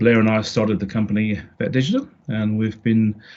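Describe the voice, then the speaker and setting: A man speaks with a British accent. His pitch is fairly low. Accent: British accent, noticeable. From UK. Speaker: marketing consultant. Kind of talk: podcast interview. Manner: halting, many fillers and restarts.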